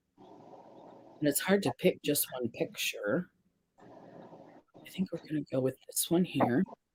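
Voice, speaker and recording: A woman speaks at a very slow pace in a very deep, low voice, somewhat breathy, with lively intonation, big swings in loudness, and a dry, close sound with no echo. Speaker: makeup and face paint artist. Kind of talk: casual livestream chat. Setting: live stream.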